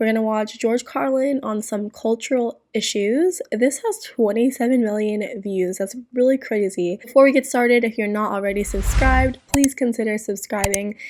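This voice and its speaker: Music plays in the background while a woman speaks at a moderate pace with hardly any pauses. Her pitch is fairly high, with ordinary variation. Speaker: reaction video creator. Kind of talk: casual chat. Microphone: new microphone.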